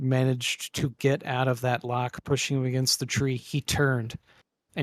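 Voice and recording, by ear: Quiet surroundings behind a natural voice reading aloud.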